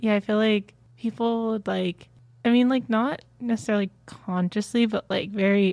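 In an unremarkable speaking voice with an American accent, a woman talks with fairly even intonation, the sound dry and close with no echo. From New Jersey, US. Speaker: university student. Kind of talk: casual chat.

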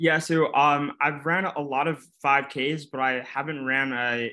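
A man talks at a fairly slow pace, his tone bright and sharp and his intonation fairly even. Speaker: university student. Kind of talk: interview. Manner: stutters.

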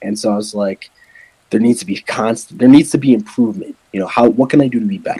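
A man with an American accent, a medium pitch, lively intonation and a very fast pace. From Wisconsin. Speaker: powerlifter. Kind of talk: casual interview chat.

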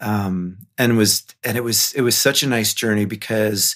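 A man's plain, everyday voice, fairly low in pitch, with ordinary pitch variation at a moderate pace, on a very clean recording with a silent background. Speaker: middle school performing arts teacher. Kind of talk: casual interview chat.

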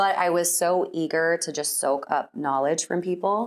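A woman with a plain, everyday voice and a fairly low pitch speaks with ordinary pitch variation in a very clean recording over a silent background. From Texas (Austin area). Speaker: entrepreneur. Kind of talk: interview conversation.

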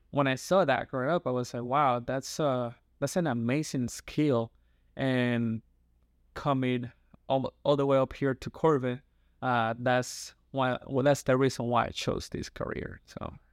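Here a man with a Dominican accent talks at a fairly slow pace. His pitch is medium and his intonation fairly even. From Dominican Republic (San Pedro de Macorís). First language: Spanish. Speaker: youth pastor and counseling student. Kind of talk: interview conversation.

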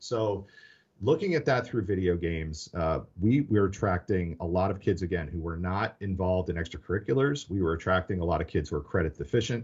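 A man with an American accent, very deep and low in pitch, somewhat breathy, at a fairly quick pace against a quiet background. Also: ordinary pitch variation. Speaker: education technology executive, former teacher. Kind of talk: podcast interview.

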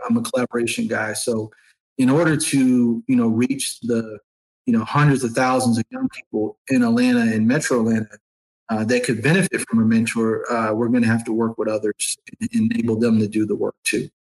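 A man with an American accent speaks in a normal speaking voice at a fairly quick pace with fairly even intonation, in a dry, close sound with no echo. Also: medium pitch for a man, very even loudness. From upstate New York, Syracuse. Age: 30s. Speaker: nonprofit executive. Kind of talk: interview conversation.

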